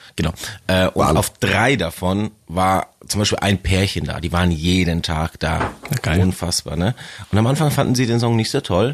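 A man with a very deep, low pitch talks at a moderate pace with lively intonation over noticeable background noise. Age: 30s. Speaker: metal band bassist. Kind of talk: casual interview. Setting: studio.

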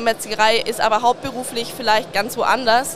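Against noticeable background noise, a woman speaks fairly quickly at a high pitch in a monotone, flat way. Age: 20s. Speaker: butcher shop sales trainee. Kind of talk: interview. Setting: trade fair.

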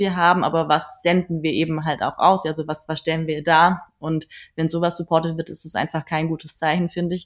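A woman with a plain, everyday voice speaks at a moderate pace and a fairly low pitch with fairly even intonation, on a very clean recording with a silent background. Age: 30s. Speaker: photographer and model agency founder. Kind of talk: casual interview.

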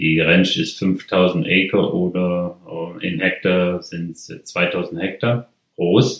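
The pace is very slow, with fairly even intonation and big swings in loudness. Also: man, very deep, low pitch for a man. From Germany, Ruhr area (Mülheim an der Ruhr). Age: 50s. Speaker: rancher. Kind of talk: interview. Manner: halting.

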